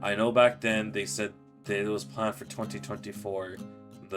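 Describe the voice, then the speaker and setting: A man's fairly low voice with lively intonation over music in the background. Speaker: gaming commentator. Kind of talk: casual gaming commentary. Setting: home recording. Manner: hesitant, some stuttering.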